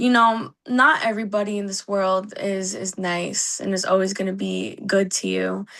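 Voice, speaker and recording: At a moderate pace with hardly any pauses, a woman speaks at a medium pitch with fairly even intonation over a quiet background. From US, Puerto Rican and Mexican heritage. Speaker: singer. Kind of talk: interview.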